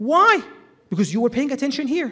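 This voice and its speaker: This loud voice swings very widely in pitch. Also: man. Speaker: Islamic lecturer. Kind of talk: religious lecture. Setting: hall with audience, PA system.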